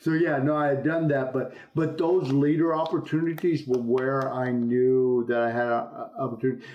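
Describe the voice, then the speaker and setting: At a moderate pace, a man talks with a fairly high pitch and ordinary pitch variation amid audible room echo. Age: 60s. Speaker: business executive. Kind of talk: interview.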